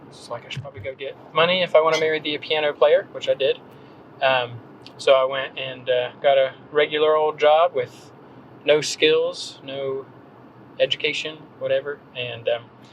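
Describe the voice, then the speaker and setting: Speaking in an American accent with fairly even intonation, the voice shows big swings in loudness over noticeable background noise. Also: man, fairly high pitch for a man, moderate pace. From North Carolina, Gaston County small town. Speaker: copywriter and blogger. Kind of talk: podcast interview. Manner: casual, many fillers.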